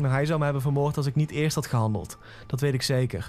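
Music plays in the background as a man talks. His medium-pitched voice moves at a moderate pace with fairly even intonation. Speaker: creepypasta narrator. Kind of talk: scripted horror story narration in first person.

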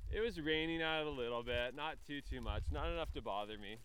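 A man speaks in a Canadian accent at a fairly quick pace. Audible room echo surrounds his voice. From Northwest Territories, Canada (Yellowknife). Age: 20s. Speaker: cross-country cyclist. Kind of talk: interview. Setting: outdoors.

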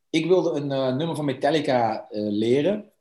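A dark, mellow voice moves at a very slow pace with ordinary pitch variation over a quiet background. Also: man. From Netherlands. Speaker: punk rock singer and musician. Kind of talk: casual interview.

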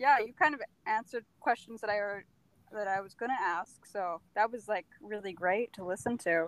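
A woman speaks at a moderate pace with ordinary pitch variation. The sound is dry and close, with no echo. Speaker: podcast co-host. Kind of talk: casual interview chat. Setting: video call.

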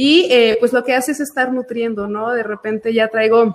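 Here a woman speaks in a high pitch. Her intonation is fairly even. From Aguascalientes, Mexico. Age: 30s. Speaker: financial advisor. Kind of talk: casual chat.

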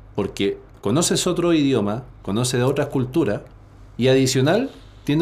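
At a moderate pace, a man talks at a medium pitch with ordinary pitch variation and a somewhat breathy voice. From Chile. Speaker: personal development coach and entrepreneur. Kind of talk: interview conversation. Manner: halting, frequent word repetitions.

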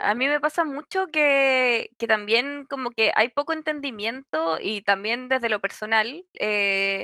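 A woman speaks at a very slow pace with a high pitch. Her pitch swings very widely. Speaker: podcast co-host. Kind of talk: casual chat.

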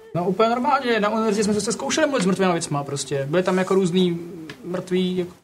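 Against noticeable background noise, a man with a high pitch talks at a fairly quick pace with lively intonation. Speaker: tabletop RPG player. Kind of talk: in-character role-play.

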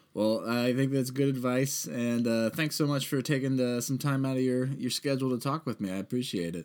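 With an American accent and an unremarkable speaking voice, a man talks at a fairly quick pace and medium pitch with ordinary variation, in a very clean recording with a silent background. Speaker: podcast host. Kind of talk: casual interview.

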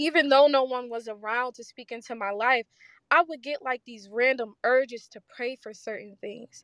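In a dry, close sound with no echo and a quiet background, a woman with a high pitch talks at a moderate pace, with fairly even intonation and big swings in loudness. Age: 20s. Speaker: guest speaker. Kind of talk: testimony.

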